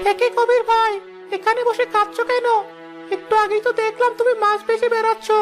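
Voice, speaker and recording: Over clear music in the background, a woman performs a cartoonish character voice at a moderate pace. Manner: gentle, consoling.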